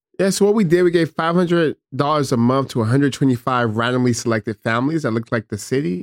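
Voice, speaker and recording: Recorded very cleanly against a silent background with a dry, close sound and no echo, a man with an American accent speaks at a medium pitch with ordinary pitch variation. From Stockton, California. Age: 30s. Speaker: former mayor. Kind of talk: interview.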